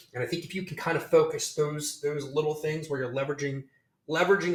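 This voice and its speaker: Very fast, a man talks with an American accent at a fairly high pitch. His intonation stays fairly even. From Virginia, US. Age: 40s. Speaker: social media marketing executive. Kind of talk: podcast interview.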